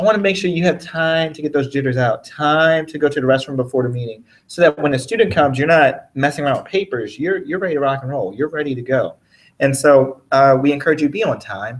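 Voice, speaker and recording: With big swings in loudness, a man rattles along at a very fast pace. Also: fairly high pitch for a man, ordinary pitch variation. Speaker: college conduct officer, trainer. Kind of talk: training presentation.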